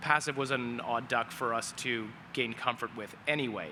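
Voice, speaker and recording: A man speaks with a medium pitch and fairly even intonation. Noticeable background noise can be heard. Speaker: AI asset manager. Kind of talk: panel discussion. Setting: stage with audience.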